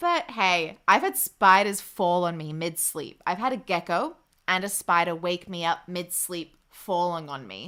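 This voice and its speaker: A woman talks at a fairly slow pace with hardly any pauses, her pitch fairly low and varying normally. Her tone is bright and sharp. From Australia, Queensland. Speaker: game livestreamer. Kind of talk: casual livestream chat. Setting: livestream reading chat comments. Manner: animated.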